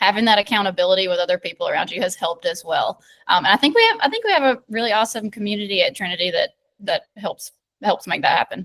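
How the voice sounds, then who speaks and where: A bubbly woman with a strong Southern US accent, at a very fast pace, in a dry, close sound with no echo. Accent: thick Southern US. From US South, rural south Georgia. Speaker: medical student. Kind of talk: casual interview chat. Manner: loud, bubbly.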